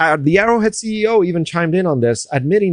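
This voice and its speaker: Over a quiet background, a man talks at a very fast pace with lively intonation in a dry, close sound with no echo. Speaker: gaming commentator. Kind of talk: opinion commentary video. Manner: loud; animated.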